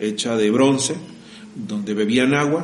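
Amid audible room echo, a man with a medium pitch talks at a fairly slow pace with lively intonation. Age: 30s. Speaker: podcast host. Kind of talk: casual chat.

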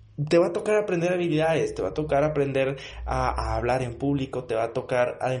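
Somewhat breathy and energetic in tone, a man speaks with ordinary pitch variation. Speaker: motivational podcast host. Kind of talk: motivational monologue. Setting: home studio. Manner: energetic, with filler words.

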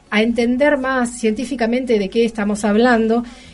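Over music in the background, a woman with a fairly high voice talks at a moderate pace. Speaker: radio host. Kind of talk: radio interview and news talk.

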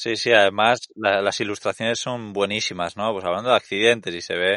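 A man talks at a fairly quick pace with a bright, sharp tone. The background is quiet. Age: 30s. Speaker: travel podcast co-host. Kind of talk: casual chat.

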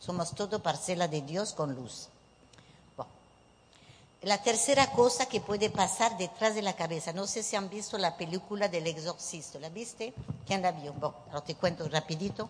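A woman with a French accent speaks at a moderate pace in a somewhat breathy, medium-pitched voice with lively intonation. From southwestern France (Bordeaux, Bayonne). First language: French (speaking Spanish). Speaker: psychic medium. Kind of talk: workshop talk to a live audience. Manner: animated.

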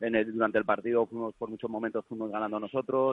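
This man talks very fast at a medium pitch, with a flat, monotone delivery. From Valencia, Spain. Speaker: regional youth football team coach. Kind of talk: casual chat.

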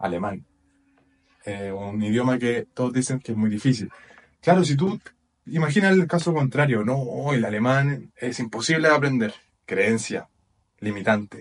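Pausing long and often, a man speaks at a moderate pace and medium pitch with lively intonation. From Chile. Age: 20s. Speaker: personal development podcaster. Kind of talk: motivational talk. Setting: video recording with whiteboard.

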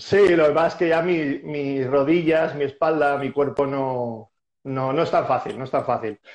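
In an unremarkable speaking voice, a fairly high-pitched man talks at a fairly slow pace with fairly even intonation. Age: 40s. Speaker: squash coach and former player. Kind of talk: casual interview.

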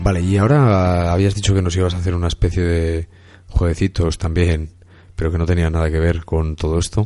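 A man with a Castilian accent and a very deep, low pitch, fairly even intonation and a fairly quick pace, music in the background. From Burgos, Spain. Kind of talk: casual chat.

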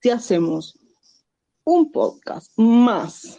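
A woman with an Argentine accent speaks with lively intonation. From Argentina. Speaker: friend of the host, guest. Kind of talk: casual chat.

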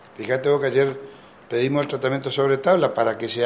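Through noticeable background noise comes a man's fairly high-pitched voice. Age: 50s. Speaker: politician, incoming mayor. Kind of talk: news interview. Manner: halting, many fillers.

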